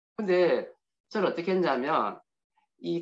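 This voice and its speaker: In a Gyeongsang accent, a man speaks fairly slowly at a high pitch, with lively intonation. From Gyeongsang region, Korea (Daegu area). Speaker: motivational speaker. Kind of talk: invited speech with personal testimony.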